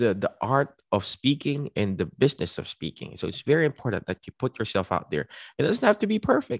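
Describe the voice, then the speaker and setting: A man with an animated tone, very wide pitch swings, vocal fry and a fairly quick pace, in a dry, close sound with no echo against a quiet background. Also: medium pitch for a man. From Philippines. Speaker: physical therapist. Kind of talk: presentation.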